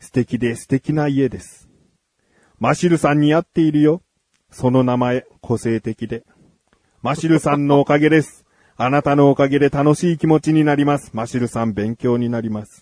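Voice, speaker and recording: A man's ordinary speaking voice, fairly high in pitch, with ordinary pitch variation, a moderate pace and big swings in loudness. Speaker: radio host. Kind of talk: casual chat.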